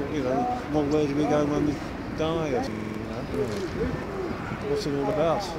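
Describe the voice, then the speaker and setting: Loud background noise sits under speech at a moderate pace with long, frequent pauses. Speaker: Baptist street preacher. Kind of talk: evangelising street conversation. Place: street. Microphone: handheld.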